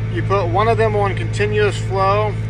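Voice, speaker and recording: At a fairly slow pace, the voice has a dry sound with no echo, and noticeable background noise can be heard. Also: man. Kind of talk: tutorial. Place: farm machine. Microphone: phone near.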